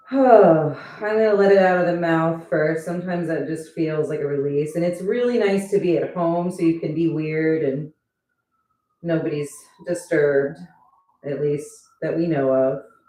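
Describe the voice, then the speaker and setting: Audible room echo surrounds a woman speaking at a moderate pace in a fairly low pitch. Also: ordinary pitch variation. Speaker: yoga instructor. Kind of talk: live-streamed yoga class. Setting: at home, live stream. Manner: loud; casual, chatty.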